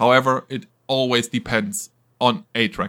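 Bright, sharp male voice with a German accent and lively intonation, on a very clean recording with a silent background. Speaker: podcast host for a video game company. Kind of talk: casual chat. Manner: animated.

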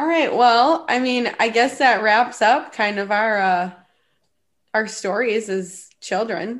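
A woman puts on a raspy character voice in a Minnesotan accent. Her pitch is fairly high and her pace very slow.

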